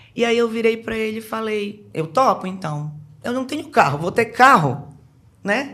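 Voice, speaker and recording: A woman with a Pará accent talks at a moderate pace in a fairly high pitch. Her tone is bright, sharp and animated, with lively intonation. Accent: Pará accent, noticeable. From Brazil, Belém do Pará. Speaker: businesswoman, sales professional. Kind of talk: casual podcast interview.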